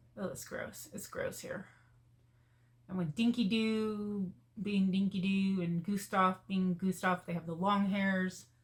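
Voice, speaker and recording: A woman talks at a fairly slow pace with a medium pitch. Her voice is somewhat breathy. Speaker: lifestyle vlogger. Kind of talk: casual chat. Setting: at home folding laundry. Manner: subdued, sad-sounding.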